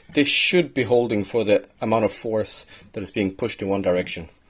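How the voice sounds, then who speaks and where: Speaking very fast with a Swedish accent, a man of medium pitch uses lively intonation. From Sweden. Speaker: DIY maker, video host. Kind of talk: tutorial. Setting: workshop shed.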